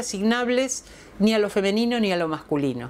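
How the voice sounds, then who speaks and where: A woman speaks in a normal speaking voice at a moderate pace, her intonation lively. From Argentina. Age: 60s. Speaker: feminist philosopher; interviewee. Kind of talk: testimonial interview. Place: home room. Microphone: lapel.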